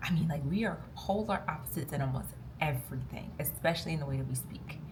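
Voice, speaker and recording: A woman talks at a very fast pace in an animated tone, with audible room echo around her voice. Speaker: lifestyle vlogger. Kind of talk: casual vlog talk to camera. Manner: loud, talkative.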